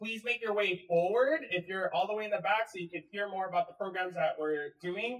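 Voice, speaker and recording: A man speaks loudly at a high pitch. His pace is moderate and his pitch varies in an ordinary way. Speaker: event organizer. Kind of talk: crowd control announcement. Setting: community meeting with audience. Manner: firm.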